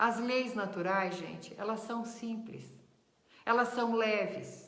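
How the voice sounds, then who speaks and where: With a warm tone, a woman speaks at a fairly high pitch, slowly and in a flat monotone. There is audible room echo and noticeable background noise. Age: 60s. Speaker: spiritist teacher. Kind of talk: lecture. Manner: warm, conversational.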